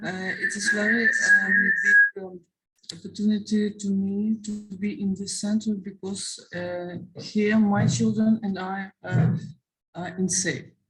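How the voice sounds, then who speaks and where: Music plays behind a woman speaking at a very slow pace, her pitch medium and her intonation fairly even. Her loudness swings widely. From Ukraine. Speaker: war refugee, mother. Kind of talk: testimony. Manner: halting, many hesitations.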